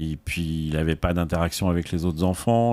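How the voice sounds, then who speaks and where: In a very clean recording with a silent background, a man with a very deep, low voice talks at a moderate pace. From Paris, France. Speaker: association president and volunteer pilot. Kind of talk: podcast interview, storytelling. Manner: hesitant, with many fillers.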